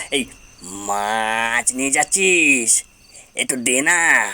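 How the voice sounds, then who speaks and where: At a very slow pace, a man puts on a character voice at a medium pitch. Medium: read story. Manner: demanding, menacing.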